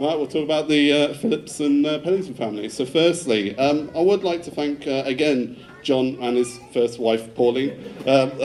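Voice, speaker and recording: Through noticeable background noise, a man with a fairly high pitch speaks with ordinary pitch variation. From England, Devon. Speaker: groom. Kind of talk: wedding speech. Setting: wedding reception with audience. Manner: fast.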